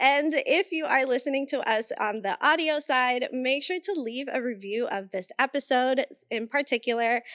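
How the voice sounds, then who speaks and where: A woman with a Puerto Rican accent speaks in a high voice at a moderate pace with ordinary pitch variation and hardly any pauses. The recording is very clean, dry and close, with a silent background and no echo. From Puerto Rico. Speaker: podcast host. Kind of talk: casual chat.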